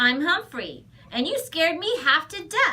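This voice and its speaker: Using a put-on character voice, a woman projects a squeaky, extremely high-pitched, raised voice with very wide pitch swings at a moderate pace. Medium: read story.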